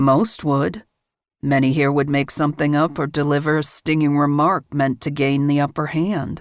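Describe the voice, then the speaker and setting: A husky, put-on character voice at a moderate pace, with fairly even intonation, on a very clean recording with a silent background. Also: woman, very deep, low pitch for a woman. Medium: read story. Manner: measured, controlled.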